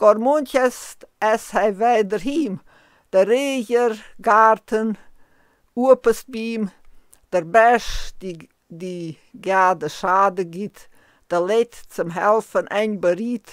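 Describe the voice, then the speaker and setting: Very slowly and with long, frequent pauses, a woman talks in a fairly high voice with ordinary pitch variation. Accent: Transylvanian. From Transylvania, Romania. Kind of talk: poetry reading.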